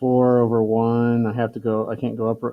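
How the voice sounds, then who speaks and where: A man speaks at a fairly slow pace in a medium pitch. His intonation is monotone and flat. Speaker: math teacher. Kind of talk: tutorial.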